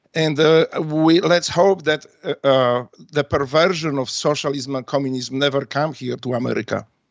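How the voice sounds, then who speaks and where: Here a man talks with a Polish accent at a fairly high pitch. He keeps a moderate pace and fairly even intonation. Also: hardly any pauses. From Poland. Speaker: retired navy special forces veteran and author. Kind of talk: radio interview. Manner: halting, many fillers.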